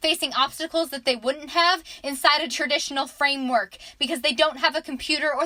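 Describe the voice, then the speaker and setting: A woman speaks at a high pitch and a fairly quick pace in a raised, projected voice. Her tone is bright and sharp, with fairly even intonation. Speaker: student, aspiring teacher. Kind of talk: spoken word poetry.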